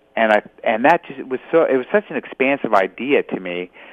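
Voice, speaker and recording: A man with an American accent speaks at a medium pitch and a fairly quick pace. His pitch swings very widely. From Los Angeles, California. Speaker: ultramarathon runner and author. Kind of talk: interview.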